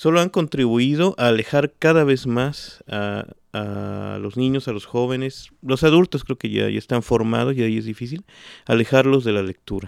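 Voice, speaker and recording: A man's medium-pitched, plain, everyday voice at a moderate pace, with ordinary pitch variation, in a very clean recording with a silent background and a dry, close sound with no echo. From Mexico (Xalapa, Veracruz and Mexico City). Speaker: writer. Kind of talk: casual interview. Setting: at the guest's home.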